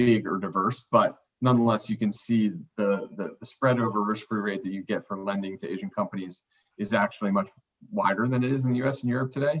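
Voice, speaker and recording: With a medium pitch and ordinary variation in it, a man is talking. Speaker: investment manager presenting to committee. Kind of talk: business presentation. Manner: fast.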